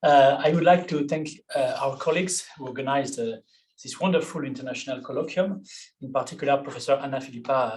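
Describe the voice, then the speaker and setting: The man's voice sits fairly high and moves with ordinary pitch variation. He speaks at a fairly quick pace, with audible room echo. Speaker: law professor. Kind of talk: conference talk. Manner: hesitant.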